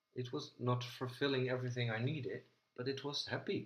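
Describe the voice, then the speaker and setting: A somewhat breathy male voice at medium pitch and a moderate pace. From Netherlands. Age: 40s. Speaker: video host. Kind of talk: casual chat.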